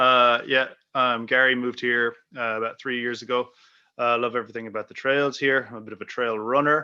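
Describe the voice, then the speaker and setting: Speaking with an Irish accent at a moderate pace, this voice stays monotone with flat intonation. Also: man. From Ireland. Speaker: physiotherapist, new committee member. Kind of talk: self-introduction at meeting.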